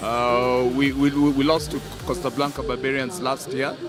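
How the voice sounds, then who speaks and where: A man's fairly even intonation carries through noticeable background noise. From Kenya. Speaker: rugby tournament official. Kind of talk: live interview. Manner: halting, heavy word repetition.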